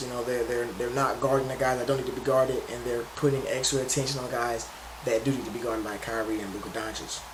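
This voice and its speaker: A man speaks at a medium pitch with audible room echo. Noticeable background noise sits behind him. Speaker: sports commentator. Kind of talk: casual commentary. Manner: fast; halting, many restarts.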